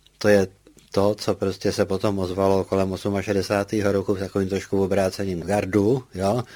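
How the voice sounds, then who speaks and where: A man's dark, mellow tone, fairly low in pitch, monotone and flat, at a moderate pace with very even loudness, on a very clean recording with a silent background. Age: 80s+. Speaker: political scientist. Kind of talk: interview.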